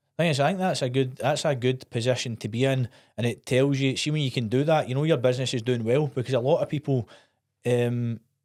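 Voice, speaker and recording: In a very clean recording with a silent background, a man with a Scottish accent talks at a very fast pace with fairly even intonation. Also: medium pitch for a man. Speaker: podcast host. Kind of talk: podcast interview.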